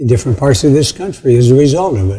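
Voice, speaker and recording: Somewhat breathy and dark, mellow in tone, a man speaks at medium pitch. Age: 80s+. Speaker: retired education professor, community foundation founder. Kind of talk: casual conversation at an honoring event. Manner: halting, repeats words.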